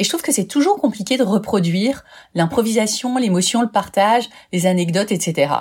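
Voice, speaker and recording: Somewhat breathy and upbeat, a woman speaks at a moderate pace in a medium pitch with lively intonation. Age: 50s. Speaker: life coach and podcaster. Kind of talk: podcast self-presentation.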